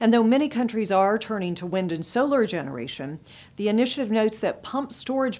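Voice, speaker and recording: The intonation is lively. The pace is fairly quick. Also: woman. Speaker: news presenter and publisher. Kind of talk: formal news reading, scripted headlines delivered in a steady, polished broadcast style. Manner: formal, measured and even-paced, crisp and neutral like a broadcast anchor; clear, businesslike, brisk transitions between stories. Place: studio. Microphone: lapel.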